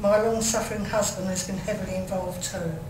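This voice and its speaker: A woman with an English accent talks at a very fast pace and with fairly even intonation. Noticeable background noise and audible room echo are present. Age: 60s. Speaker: mental health carer and consultant. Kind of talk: reading aloud; testimony. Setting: commission hearing session.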